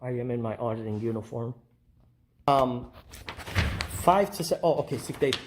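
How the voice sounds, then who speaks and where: This soft-spoken man talks at a moderate pace with medium pitch and lively intonation. He leaves long, frequent pauses. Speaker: First Amendment auditor. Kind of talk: casual vlog talk to camera.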